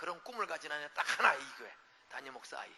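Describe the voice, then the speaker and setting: A man talks in an animated tone. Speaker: revival preacher. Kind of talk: sermon. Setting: church. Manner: fast.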